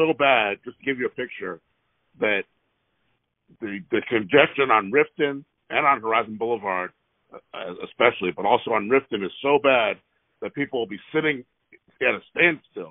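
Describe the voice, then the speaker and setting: A man talks at a moderate pace, with long, frequent pauses and ordinary pitch variation. The background is quiet, and the sound is dry with no echo. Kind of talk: phone complaint call. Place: car. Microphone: phone near.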